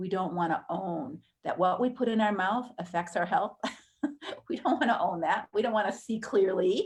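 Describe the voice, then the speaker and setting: Over music in the background, a woman talks at medium pitch and a moderate pace. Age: 60s. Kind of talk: live webinar teaching. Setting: live stream webinar.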